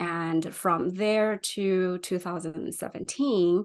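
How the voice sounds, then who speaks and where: Over a quiet background, a woman in a Chinese accent speaks at a medium pitch with ordinary pitch variation. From China. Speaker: UX designer. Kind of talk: interview.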